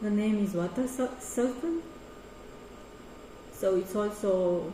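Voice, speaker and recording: A woman with a Romanian accent, very slow in pace and lively in intonation, over noticeable background noise. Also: medium pitch for a woman. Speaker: artist and choreographer. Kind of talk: artist talk presentation. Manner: halting.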